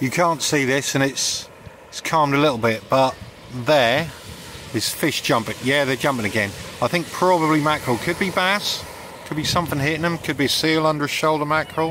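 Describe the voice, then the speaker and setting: Fairly quick delivery over noticeable background noise, with a dry sound and no echo. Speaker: vlogger. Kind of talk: casual vlog chat. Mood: cheerful, upbeat. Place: beach. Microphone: phone near.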